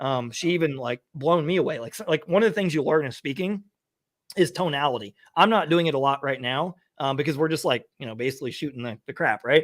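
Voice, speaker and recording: An animated man with an American accent talks at a very fast pace, his fairly high pitch showing ordinary variation. The recording is very clean and the background silent. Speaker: online business coach. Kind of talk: casual chat.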